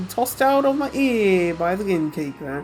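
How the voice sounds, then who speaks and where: Putting on a character voice, a woman speaks at a fairly slow pace in a fairly low, rumbling pitch with very wide pitch swings, with clear music in the background. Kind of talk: let's-play voice reading. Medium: game stream. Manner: sardonic, grumbling.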